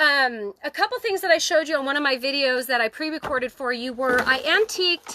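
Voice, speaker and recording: With a raised, projected voice, a woman speaks at a high pitch and a moderate pace, her bright, sharp tone animated and her intonation lively. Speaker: crafting channel host. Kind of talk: livestream craft tutorial. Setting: outdoors on her deck, livestream.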